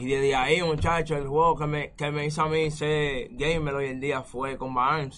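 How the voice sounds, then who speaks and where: Against noticeable background noise, a man talks at a moderate pace. His pitch is fairly high, and his intonation fairly even. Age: 20s. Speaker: esports gamer. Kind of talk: casual interview.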